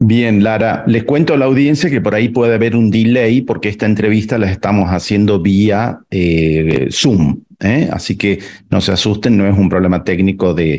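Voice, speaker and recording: An ordinary speaking voice at a moderate pace, with very even loudness, hardly any pauses and ordinary pitch variation. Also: man, fairly low pitch for a man. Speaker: radio host and architect. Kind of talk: radio interview.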